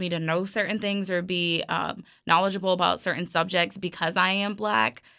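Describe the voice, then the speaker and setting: A woman with an American accent and a medium pitch, an unremarkable speaking voice, fairly even intonation, moderate pace, very clean recording with a silent background. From New York City, Brooklyn. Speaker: college student and student newspaper editor. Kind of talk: casual chat.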